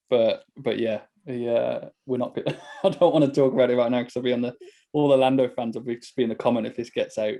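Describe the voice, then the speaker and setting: In a Birmingham accent, a man talks at a very fast pace. His voice sits at a medium pitch with ordinary pitch variation. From Birmingham, England. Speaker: podcast host and racing driver. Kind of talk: casual chat.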